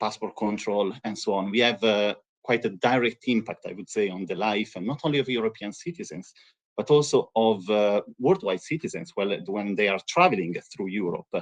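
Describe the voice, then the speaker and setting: Strong Italian accent at a moderate pace, with ordinary pitch variation and a dry, close sound free of echo. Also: man, fairly low pitch for a man. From Italy. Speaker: EU agency representative. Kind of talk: webinar presentation. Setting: live stream webinar.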